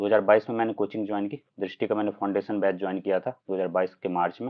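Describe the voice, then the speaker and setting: Speaking in a Bihar accent, a man with a fairly low pitch keeps his intonation fairly even. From Bihar, Madhubani district (Mithila region). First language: Maithili (speaking Hindi). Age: 20s. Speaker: civil services exam topper. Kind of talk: live interview / Q&A. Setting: livestream. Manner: hesitant, frequent filler 'uh'.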